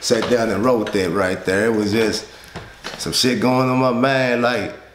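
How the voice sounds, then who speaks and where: Over light background noise and with audible room echo, a man speaks at a fairly slow pace with ordinary pitch variation. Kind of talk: interview answer. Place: studio.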